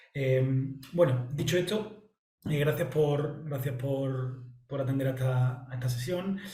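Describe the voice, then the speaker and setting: A man with an Andalusian accent talks at a very slow pace in a fairly high voice with ordinary pitch variation. The room echo is audible. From Andalusia, southern Spain. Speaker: analyst and trainer presenting a software platform. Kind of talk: presentation. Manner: halting, many fillers and repetitions.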